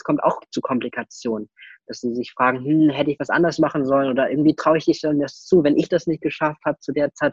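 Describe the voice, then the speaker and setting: A man talks at a very fast pace and fairly high pitch with fairly even intonation. The sound is dry and close with no echo, over a quiet background. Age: young. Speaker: IT security consultant. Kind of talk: interview. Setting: video call.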